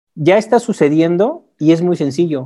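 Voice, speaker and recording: A man's dark, mellow tone, fairly high in pitch, at a fairly slow pace. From Mexico. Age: 40s. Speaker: akashic records reader. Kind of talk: interview. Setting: video call.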